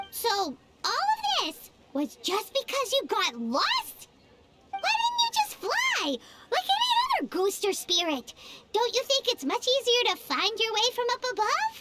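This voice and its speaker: This put-on character voice sits at an extremely high pitch. The pace is fairly slow. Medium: video game. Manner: chatty, blunt.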